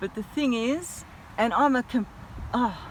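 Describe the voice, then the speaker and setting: With an Australian accent, the speaker sounds animated and keeps a moderate pace and ordinary pitch variation amid noticeable background noise. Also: woman. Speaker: vlogger. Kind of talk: casual vlog rant. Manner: mumbles sometimes.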